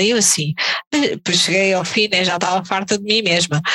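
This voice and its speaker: A woman speaks with a European Portuguese accent. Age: 30s. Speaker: tattoo artist. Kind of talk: casual chat.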